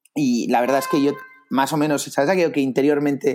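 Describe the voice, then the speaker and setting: A man talks with a fairly high pitch and ordinary pitch variation. Music plays in the background. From Spain, Barcelona. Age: 30s. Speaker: investor and China expert. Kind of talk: interview. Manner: halting, many repetitions.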